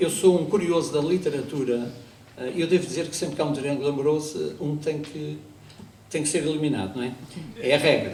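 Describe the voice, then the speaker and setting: Talking at a fairly quick pace yet with long, frequent pauses, a man with a fairly high pitch and ordinary pitch variation is heard amid noticeable background noise and audible room echo. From Azores, Portugal. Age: 60s. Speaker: amateur actor and local historian. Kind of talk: historical talk on stage. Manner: conversational, with asides and hesitations.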